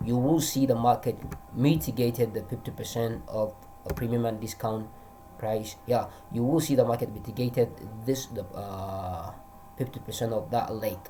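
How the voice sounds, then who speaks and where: A man with a Nigerian accent speaks at a medium pitch. There is noticeable background noise. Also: ordinary pitch variation, moderate pace. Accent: Hausa-accented English, trying to improve it. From Northern Nigeria. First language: Hausa. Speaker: forex trader. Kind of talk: trading tutorial. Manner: halting, many restarts and fillers.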